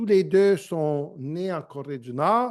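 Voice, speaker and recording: The tone is dark and mellow, with lively intonation. The pace is very slow. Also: man. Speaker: lecturer. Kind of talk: lecture. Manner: halting, many hesitations.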